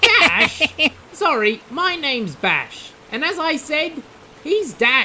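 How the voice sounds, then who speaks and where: Over clear background noise, a high-pitched put-on character voice speaks at a very slow pace. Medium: audio drama.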